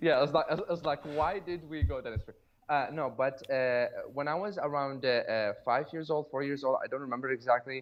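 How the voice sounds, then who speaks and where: A man with a slight non-native accent, fairly quick pace and ordinary pitch variation. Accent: slight foreign. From Iraq. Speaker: dentist. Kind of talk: podcast interview. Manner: halting, many fillers.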